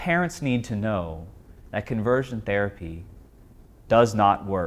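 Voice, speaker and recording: A man in a plain, everyday voice, at a moderate pace with ordinary pitch variation. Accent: American. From Texas. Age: 20s. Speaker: former client sharing personal experience. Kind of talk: testimony.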